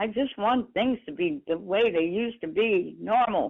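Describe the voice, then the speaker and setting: A woman's voice with very wide pitch swings. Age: 80s+. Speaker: caller. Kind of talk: voicemail testimony.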